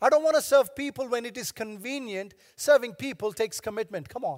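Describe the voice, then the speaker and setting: A man with an extremely high pitch talks in an animated tone at a fairly quick pace. His pitch varies in an ordinary way, and the sound is dry and close with no echo. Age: 70s. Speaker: pastor. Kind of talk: sermon. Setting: church.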